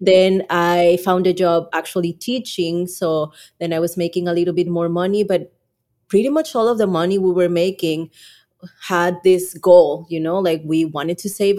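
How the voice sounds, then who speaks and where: A woman speaks in a Mexican accent with a fairly low pitch and a dark, mellow tone. Her intonation stays fairly even. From Mexico. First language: Spanish. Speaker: YouTube creator and Spanish podcast co-host. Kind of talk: casual interview chat.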